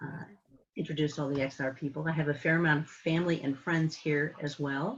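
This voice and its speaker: With an American accent, a woman talks at a fairly quick pace in a very deep, low pitch, her intonation fairly even. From San Francisco, California. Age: 70s. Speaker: climate activist. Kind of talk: presentation. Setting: video call.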